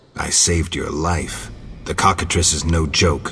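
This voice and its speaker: In a put-on character voice, a man growls at a very deep, low pitch, keeping a deadpan tone and a moderate pace. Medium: video game. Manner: terse, deadpan.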